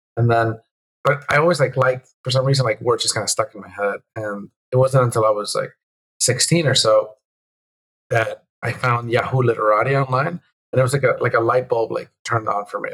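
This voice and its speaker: Fairly quick, fairly even-toned speech from a man of medium pitch with a Spanish accent. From Venezuela, moved to the US at nine. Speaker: game developer. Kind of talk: casual interview chat. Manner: halting, many repeated words.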